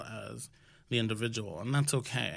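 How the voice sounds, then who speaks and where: This man has a plain, everyday voice with an American accent. His pitch is medium, with ordinary variation. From New York City (Washington Heights), Dominican family. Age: 30s. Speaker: health startup founder. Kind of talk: casual interview. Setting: studio, seated at a table.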